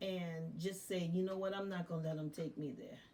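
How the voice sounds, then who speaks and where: A dark, mellow tone comes with a somewhat breathy quality in this voice. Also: woman. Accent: American. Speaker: retired teacher. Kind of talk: casual live stream chat. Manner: formal, news-anchor-like diction.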